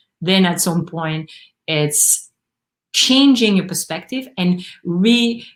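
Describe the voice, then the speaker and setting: Speaking very slowly with a French accent, a woman keeps a medium pitch but swings it very widely. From Belgium. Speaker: actor and acting coach. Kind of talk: live panel discussion.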